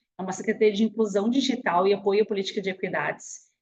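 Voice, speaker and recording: A woman speaks very fast in a fairly high, somewhat breathy voice with ordinary pitch variation. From southern Brazil, Rio Grande do Sul. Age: 40s. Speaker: webinar speaker, career and entrepreneurship advisor. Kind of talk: webinar presentation. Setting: online webinar, screen sharing. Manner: casual, chatty.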